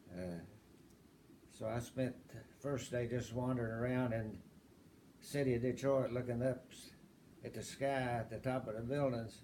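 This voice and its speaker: A man's dark, mellow voice with an Appalachian accent, moderate pace, long and frequent pauses, fairly even intonation, big swings in loudness, and audible room echo. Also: medium pitch for a man. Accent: Appalachian Southern American. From US South, southwest Virginia (Appalachia). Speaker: interviewee in family oral history. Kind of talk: oral history interview.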